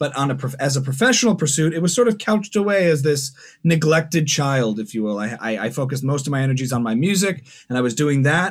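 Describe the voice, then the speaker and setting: Speaking very fast with an American accent, a man uses lively intonation at a fairly high pitch. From New Jersey. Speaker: musician and comedian. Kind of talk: casual interview.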